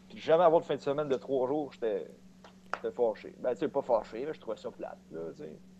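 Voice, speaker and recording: With ordinary pitch variation, a man speaks in an unremarkable speaking voice. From Quebec, Saint-Ours near Sorel. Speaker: podcast guest. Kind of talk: casual chat. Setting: Facebook voice call.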